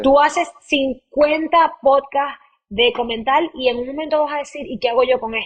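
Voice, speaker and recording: A woman speaks high in pitch, with ordinary pitch variation, at a moderate pace. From Maracaibo, Venezuela. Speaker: podcast host and audiovisual producer. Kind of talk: interview answer.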